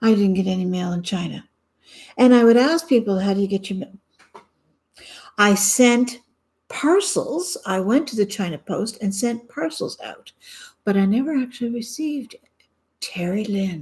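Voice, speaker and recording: In a Canadian accent, the speaker talks at a moderate pace with lively intonation, a somewhat breathy sound, and long, frequent pauses. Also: woman, fairly high pitch for a woman. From Canada. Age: 60s. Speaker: vlogger. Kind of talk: personal video diary. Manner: halting, many fillers.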